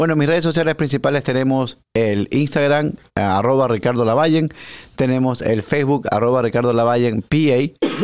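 A man speaks in an ordinary speaking voice at a medium pitch and moderate pace. His loudness stays very even, with ordinary pitch variation. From Ecuador, Guayaquil. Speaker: real estate agent. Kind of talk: interview.

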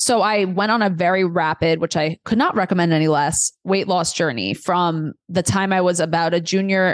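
Over a quiet background, a woman with an American accent uses a normal speaking voice with ordinary pitch variation, recorded dry and close with no echo. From New York City, Queens. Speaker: dietitian. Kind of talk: podcast interview.

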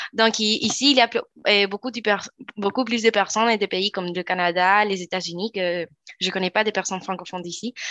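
A woman with a Spanish accent speaks at a moderate pace and medium pitch, her intonation fairly even. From Chile, Valparaíso. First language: Spanish (speaking French). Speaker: law student and youth ambassador. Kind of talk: interview.

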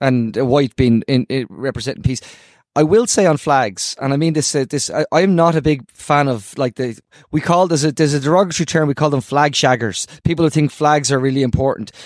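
Speaking at a fairly quick pace, a man with a Dublin accent has a fairly high pitch. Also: ordinary pitch variation, dry, close sound with no echo. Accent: Irish (Dublin). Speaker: podcast host. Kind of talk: casual chat. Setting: video call. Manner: halting, many repetitions.

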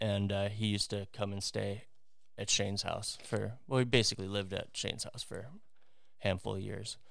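Fairly low in pitch, a man speaks at a fairly quick pace in a monotone, flat delivery. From US Midwest, Wisconsin. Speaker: former professional wakeboarder. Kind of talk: casual chat.

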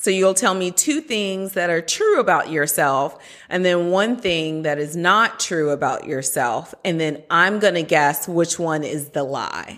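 Her pace is very slow, yet a woman at medium pitch leaves hardly any pauses. Her intonation is lively. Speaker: speech language pathologist and neuroscientist, co-host. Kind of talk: casual chat, podcast conversation.

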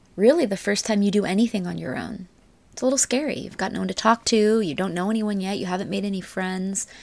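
On a very clean recording with a silent background, a normal speaking voice moves at a fairly quick pace with ordinary pitch variation. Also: woman. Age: 30s. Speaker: spiritual podcast host and mentor. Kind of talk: casual solo podcast monologue.

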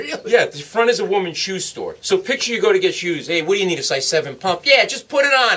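A man talks very fast in an American accent, with noticeable background noise present. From US Northeast, Providence, Rhode Island. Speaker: comedian. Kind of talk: interview with stand-up style storytelling. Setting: radio studio. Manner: animated.

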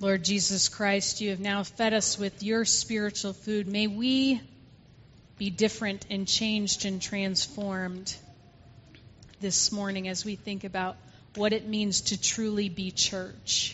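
A woman speaks at a fairly slow pace with a medium pitch and monotone, flat intonation. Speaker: pastor. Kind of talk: church service, prayer. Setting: church.

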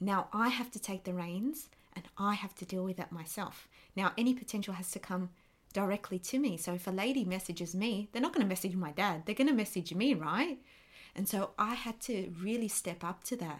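An Australian accent marks this woman's animated, medium-pitched voice, at a fairly quick pace with ordinary pitch variation over a very clean recording with a silent background. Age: 20s. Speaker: podcast host and life coach. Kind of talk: personal monologue podcast.

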